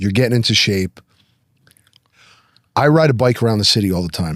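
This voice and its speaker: A man with an American accent talks at a moderate pace with a fairly low pitch and lively intonation, the sound dry and close with no echo. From New Jersey. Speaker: podcast host. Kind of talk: casual chat.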